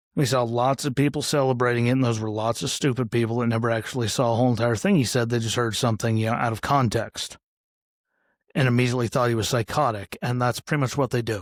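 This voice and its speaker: In an American accent, a man speaks very fast at medium pitch on a very clean recording with a silent background. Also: dry, close sound with no echo. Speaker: podcast host. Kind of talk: casual commentary monologue. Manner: lots of filler words.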